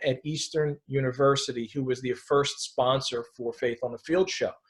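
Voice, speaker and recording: With an American accent, a man speaks at a moderate pace in a somewhat breathy voice with fairly even intonation. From Philadelphia. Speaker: sports writer and radio host. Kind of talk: interview answer.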